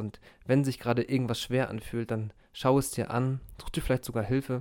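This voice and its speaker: A man speaks at a moderate pace in a monotone, flat way. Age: 30s. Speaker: former police officer. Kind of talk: personal reflection monologue. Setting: in-person recording in a holiday group retreat.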